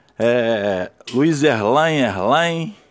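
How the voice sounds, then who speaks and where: With music playing in the background, the voice moves through very wide pitch swings. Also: man. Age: 70s. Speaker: writer and activist podcaster. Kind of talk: solo monologue commentary.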